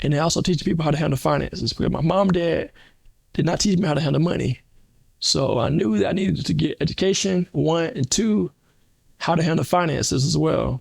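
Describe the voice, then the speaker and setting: A man talks at a very fast pace with a fairly high pitch and lively intonation. His voice carries vocal fry, and his loudness stays very even. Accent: American. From South Carolina. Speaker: accountant and finance coach. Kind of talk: testimony. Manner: slight stammering repetitions.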